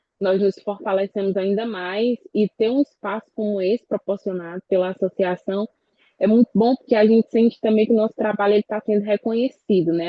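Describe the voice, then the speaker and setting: At a fairly quick pace, a woman speaks in a medium pitch. Her intonation stays fairly even. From Brazil, rural eastern Maranhão (Codó). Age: 20s. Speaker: communicator and quilombola activist. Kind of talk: panel talk at online event. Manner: halting, many self-corrections.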